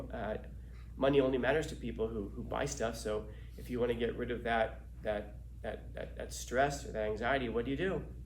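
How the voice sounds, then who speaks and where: A man talks fairly quickly while noticeable background noise carries on around him. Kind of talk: philosophy talk. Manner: low energy.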